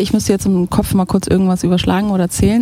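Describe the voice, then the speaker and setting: A woman talks at a very fast pace. Noticeable background noise sits behind her. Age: 30s. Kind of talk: casual interview chat.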